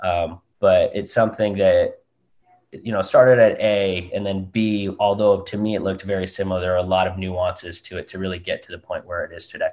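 A man talks at a fairly quick pace with a West Coast American accent. His loudness swings widely. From Southern California, US. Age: 20s. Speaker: golf company co-founder. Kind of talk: interview.

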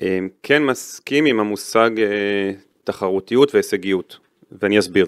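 Over a silent background in a very clean, dry, close recording with no echo, a man in an ordinary speaking voice talks at a moderate pace and fairly low pitch, with ordinary pitch variation and very even loudness. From Israel, Netanya. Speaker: retired football referee. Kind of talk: interview.

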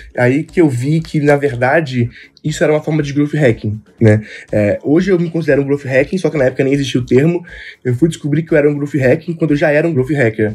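Somewhat breathy and fairly high in pitch, a man speaks very fast with ordinary pitch variation. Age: 20s. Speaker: young entrepreneur. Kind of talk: casual interview chat.

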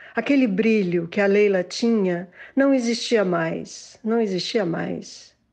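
Over a quiet background, a woman talks very slowly at a medium pitch. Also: ordinary pitch variation. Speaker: interviewee, daughter. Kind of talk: interview.

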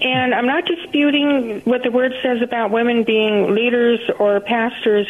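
Over noticeable background noise, a woman with a fairly high pitch and an American accent speaks with ordinary pitch variation. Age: 60s. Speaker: caller. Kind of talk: call-in prayer request. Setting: phone call. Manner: halting.

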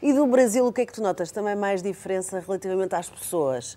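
A woman with a European Portuguese accent, medium pitch and a dark, mellow tone, fairly quick and with lively intonation. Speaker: talk show host. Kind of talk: casual chat.

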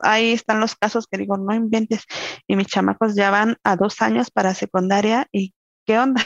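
A woman speaks with monotone, flat intonation. The sound is dry and close, with no echo. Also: medium pitch for a woman, moderate pace. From Mexico, Querétaro. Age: 30s. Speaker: mother, house cleaner. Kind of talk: interview.

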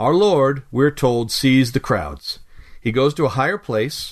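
A man with an unremarkable speaking voice talks at a medium pitch and a fairly slow pace, with lively intonation. His loudness stays very even against a quiet background. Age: 40s. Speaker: devotional writer and narrator. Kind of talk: scripted devotional reading.

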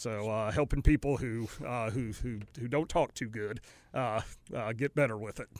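A man with an American accent and a normal speaking voice speaks at a moderate pace and medium pitch with fairly even intonation on a very clean recording with a silent background. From North Carolina. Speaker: company CEO. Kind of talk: interview. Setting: studio.

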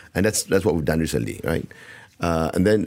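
Over a very clean recording with a silent background, a man speaks with vocal fry and lively intonation. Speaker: company founder and managing director. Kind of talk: business interview. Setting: radio studio.

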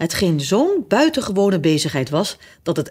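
This is plain reading aloud. Nothing beyond that stands out.

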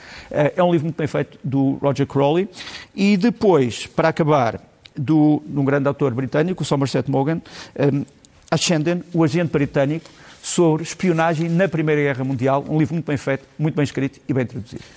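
Speaking with a European Portuguese accent, a man talks at a fairly quick pace in a fairly high pitch. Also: ordinary pitch variation. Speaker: political commentator. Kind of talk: TV commentary segment. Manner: hesitant, with fillers.

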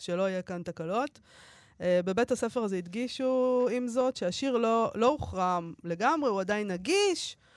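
An unremarkable speaking voice from a woman, fairly high in pitch, at a moderate pace with lively intonation. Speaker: radio host. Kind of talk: casual chat. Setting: studio.

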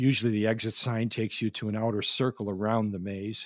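Recorded very cleanly against a silent background, a man with an unremarkable speaking voice and medium pitch talks at a moderate pace. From Minnesota. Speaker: pastor. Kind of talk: sermon.

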